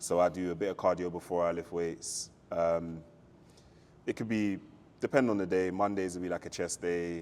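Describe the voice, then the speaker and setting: A man speaks with a London accent in a very deep, low voice, his intonation fairly even. He leaves long, frequent pauses. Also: moderate pace, very clean recording, silent background. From South London, England. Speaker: fitness enthusiast. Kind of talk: podcast interview.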